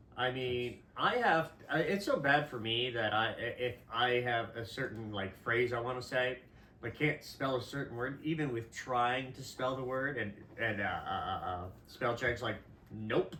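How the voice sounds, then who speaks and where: In a Midwestern accent, a man speaks at a fairly slow pace and medium pitch with ordinary pitch variation. Audible room echo and noticeable background noise fill the recording. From US Midwest. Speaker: podcast co-host. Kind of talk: casual chat.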